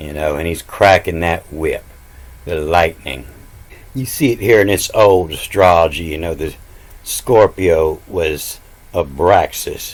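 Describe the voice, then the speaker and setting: A man with a very deep, low voice talks at a fairly slow pace, his loudness swinging widely while his pitch varies in an ordinary way. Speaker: self-taught esoteric Bible teacher. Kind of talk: video lecture. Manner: hesitant, filler-heavy.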